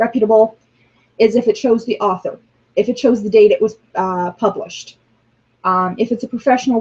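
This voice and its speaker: A woman speaks with a dark, mellow tone and a fairly high pitch. Her voice is somewhat breathy, with fairly even intonation. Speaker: religious class teacher. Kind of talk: online class lecture. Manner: frequent filler ums.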